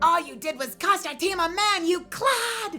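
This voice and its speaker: The speaker puts on a character voice with an extremely high pitch and keeps a moderate pace. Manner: indignant, scolding.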